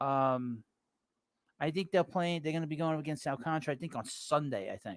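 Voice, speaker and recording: A man with a New York accent, fairly high pitch and ordinary pitch variation, at a fairly quick pace in a very clean recording with a silent background. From New York City. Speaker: baseball podcast host. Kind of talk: live stream sports talk. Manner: casual, hesitant with fillers.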